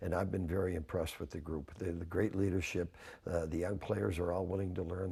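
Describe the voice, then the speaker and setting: A fairly quick, somewhat breathy man's voice with a Canadian accent, very deep and low in pitch, with a dark, mellow tone. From Canada. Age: 70s. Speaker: hockey coach. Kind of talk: sports interview. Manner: casual, repetitive restarts.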